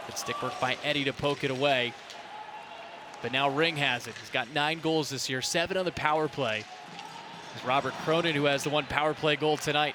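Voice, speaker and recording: Against noticeable background noise, a man with a fairly high voice talks at a fairly quick pace with fairly even intonation, leaving long, frequent pauses. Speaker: hockey play-by-play broadcaster. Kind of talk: live sports play-by-play broadcast.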